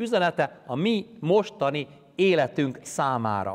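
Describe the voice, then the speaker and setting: A man's pitch swings very widely while the background stays quiet. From Hungary, Pest county; Hungary. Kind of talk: sermon. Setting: church. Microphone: lapel.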